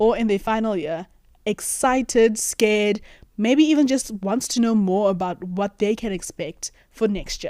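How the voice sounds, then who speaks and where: The voice has a dark, mellow tone and moves at a moderate pace. Pitch varies in an ordinary way, and the recording is very clean with a silent background. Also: woman. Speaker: YouTuber, accountancy graduate. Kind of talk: vlog monologue to camera.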